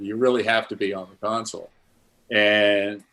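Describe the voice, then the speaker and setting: In a very clean recording with a silent background, a man speaks at a fairly low pitch. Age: 70s. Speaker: live sound engineer. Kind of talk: casual chat. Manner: halting, repeats words.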